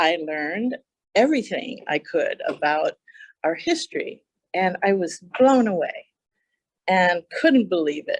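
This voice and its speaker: With a Hawaiian accent, a woman speaks fairly slowly at a fairly high pitch, her voice making very wide pitch swings and broken by long, frequent pauses, all in a dry, close sound with no echo. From Hawaii, Kona. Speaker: county council chair. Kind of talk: public talk to an audience.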